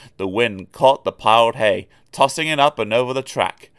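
The clip features a natural reading voice. Pitch variation is ordinary.

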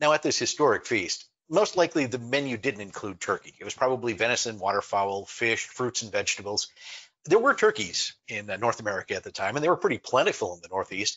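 A man speaks with big swings in loudness. The background is quiet. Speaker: online presentation host. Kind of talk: lecture. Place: home room.

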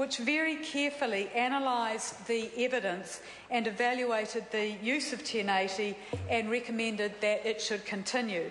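A woman speaks at a moderate pace with very even loudness and ordinary pitch variation. The recording has audible room echo and light background noise. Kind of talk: parliamentary speech. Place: hall. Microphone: podium.

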